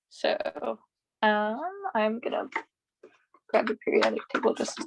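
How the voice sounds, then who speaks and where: A woman's voice, dry and close with no echo. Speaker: student tutor leading exam review. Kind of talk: study group tutoring session. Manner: casual, filler-heavy.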